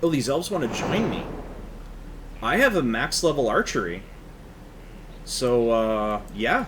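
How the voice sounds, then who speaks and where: A man with a medium-pitched voice talks with lively intonation and long, frequent pauses. Noticeable background noise and audible room echo fill the recording. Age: 30s. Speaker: video game let's player. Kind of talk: casual gameplay commentary. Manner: relaxed, halting with repetitions.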